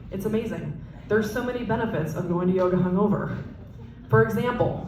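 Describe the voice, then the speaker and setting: A woman speaks at a very fast pace with lively intonation. Audible room echo and noticeable background noise surround her. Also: medium pitch for a woman. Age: 30s. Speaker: stand-up comedian. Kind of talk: stand-up. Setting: stage with audience.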